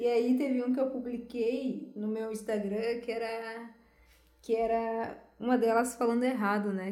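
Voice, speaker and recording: Speaking at a fairly slow pace, a woman uses a fairly high pitch and a monotone, flat intonation. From southern Brazil, Santo Ângelo (Rio Grande do Sul). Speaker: podcast co-host. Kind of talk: casual chat.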